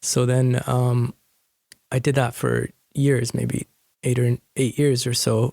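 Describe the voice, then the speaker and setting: A man with a Canadian accent talks at a fairly slow pace and medium pitch, his intonation fairly even. Music plays in the background, and the sound is dry and close with no echo. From Canada (Fraser Valley, BC); born in India. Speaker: hip-hop and spoken word artist. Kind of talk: interview. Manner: halting.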